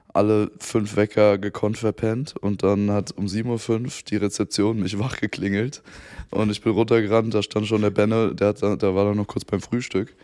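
Fairly low for a man, this voice has a dark, mellow tone and a monotone, flat delivery at a moderate pace. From Germany, Frankfurt area. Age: 20s. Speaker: boyband member and influencer. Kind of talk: casual chat. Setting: living room.

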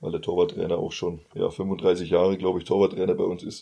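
The voice belongs to a man. His words come out at a fairly quick pace. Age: 20s. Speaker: football coach. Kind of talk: casual interview.

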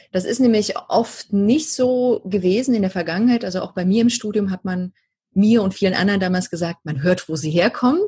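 A dark, mellow, somewhat breathy tone at a fairly quick pace, with ordinary pitch variation. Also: woman, medium pitch for a woman. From East Germany. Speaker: voice coach. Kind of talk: interview. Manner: hesitant, many filler sounds.

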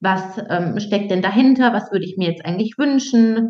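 With normal rise and fall in pitch, an ordinary speaking voice goes at a medium tempo. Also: woman. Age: 30s. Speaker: dating and relationship coach. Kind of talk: casual interview.

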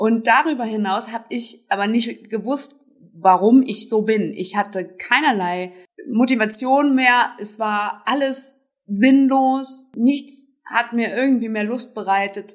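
At a very slow pace, this woman talks in a fairly high pitch that shifts an ordinary amount. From Germany, Trier (Rhineland-Palatinate). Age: 30s. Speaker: self-help group founder. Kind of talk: interview.

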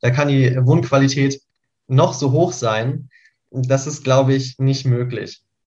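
A somewhat breathy voice with monotone, flat intonation. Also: man. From Lower Saxony, Göttingen. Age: 20s. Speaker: climate activist and planning student. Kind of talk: panel discussion.

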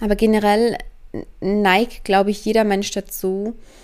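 Fairly slow, medium-pitched speech from a woman. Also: very clean recording, silent background. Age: 20s. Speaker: spiritual coach podcaster. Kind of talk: solo podcast monologue.

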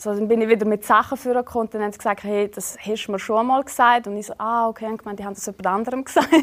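A woman with a strong Swiss German accent talks very fast in a fairly high pitch, with hardly any pauses and fairly even intonation. Her loudness swings widely against noticeable background noise. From Switzerland. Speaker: reality TV bachelorette and TikToker. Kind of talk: casual interview. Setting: studio.

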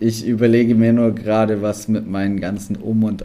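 A man's moderately paced speech stays monotone, with flat intonation. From Allgäu, southern Germany. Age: 30s. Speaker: photographer and videographer, camper. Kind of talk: podcast interview.

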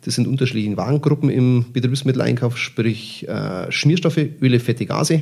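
At a moderate pace, a man with a medium pitch speaks in a somewhat breathy way. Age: 50s. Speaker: purchasing manager. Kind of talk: interview. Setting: on site at a company.

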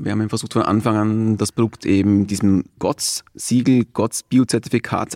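Fairly even intonation marks a man's medium-pitched voice. The sound is dry and close with no echo, in a very clean recording with a silent background. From Austria. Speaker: entrepreneur, founder. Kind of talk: interview. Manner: hesitant, repeating words.

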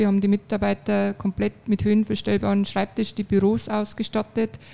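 A woman speaks with a Bavarian accent at a medium pitch. Her tone is dark and mellow. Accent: Bavarian dialect, clearly audible. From Regensburg, Bavaria. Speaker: law firm office manager. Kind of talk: interview. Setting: on-site makeshift studio at a conference.

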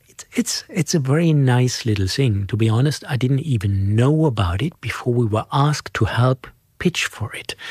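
The speech has lively intonation at a moderate pace. The sound is dry and close with no echo, and the voice is somewhat breathy. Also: man, medium pitch for a man. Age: 60s. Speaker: financial centre executive and award jury member. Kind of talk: interview. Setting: office. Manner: halting, many fillers and repeats.

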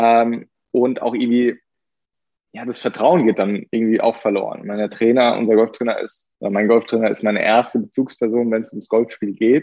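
A man at medium pitch and moderate pace, with monotone, flat intonation and big swings in loudness. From Germany. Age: 20s. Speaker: professional golfer. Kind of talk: interview. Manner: hesitant with many fillers.

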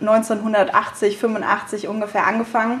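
A woman talks while noticeable background noise is present. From Rheingau, Germany. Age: 20s. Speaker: young winemaker. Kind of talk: interview. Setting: at the winery.

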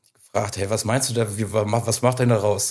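A somewhat breathy male voice at medium pitch. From Germany, Südwestfalen. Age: 30s. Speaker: record label owner. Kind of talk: interview. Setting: in person at the label office.

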